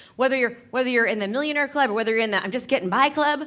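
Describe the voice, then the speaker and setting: A woman with an American accent speaks in an animated tone with lively intonation and a bright, sharp tone, on a very clean recording with a silent background. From Northern California. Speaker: real estate agent and business coach. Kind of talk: keynote talk. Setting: stage with audience. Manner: fast.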